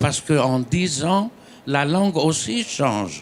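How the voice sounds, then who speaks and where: Very slow in pace, the speech carries a Greek accent and lively intonation. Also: man. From Greece. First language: Greek (speaking French). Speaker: novelist. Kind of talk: panel discussion.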